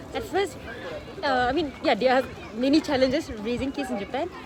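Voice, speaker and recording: A woman's high-pitched, lively voice at a fairly quick pace, with noticeable background noise and audible room echo. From Singapore. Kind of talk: interview. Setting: outdoors in a park.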